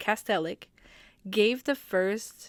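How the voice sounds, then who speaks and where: On a very clean recording with a silent background, a woman with a medium-pitched voice speaks at a very slow pace with ordinary pitch variation. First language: French. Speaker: hockey podcaster. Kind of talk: casual podcast talk.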